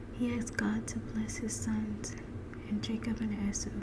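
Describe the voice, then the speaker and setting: The voice has a soothing tone and moves at a fairly slow pace. Background noise is noticeable throughout. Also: woman. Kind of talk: Bible reading ASMR. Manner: soft-spoken, soothing.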